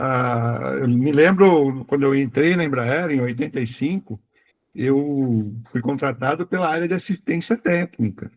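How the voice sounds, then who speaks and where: A man talks at a fairly slow pace with fairly high pitch and ordinary pitch variation. The sound is dry and close, with no echo. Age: 60s. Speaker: retired aviation executive and author. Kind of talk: interview. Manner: halting.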